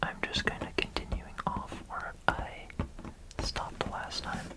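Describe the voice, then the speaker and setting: A man's calm, fairly slow whispering amid noticeable background noise. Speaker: ASMR content creator. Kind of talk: ASMR building ramble. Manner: whispered, soft-spoken, calm.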